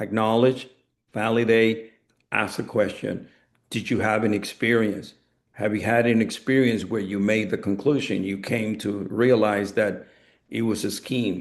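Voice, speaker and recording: This man has a medium pitch and a Spanish accent. He talks at a fairly slow pace. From Latin America. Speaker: network marketing speaker. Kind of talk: coaching talk on a group call.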